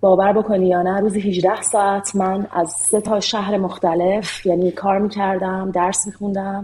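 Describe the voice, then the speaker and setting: A dark, mellow voice speaks at a moderate pace with hardly any pauses. The intonation is monotone and flat. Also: woman, medium pitch for a woman. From Iran. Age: 40s. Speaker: software engineer. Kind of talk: interview.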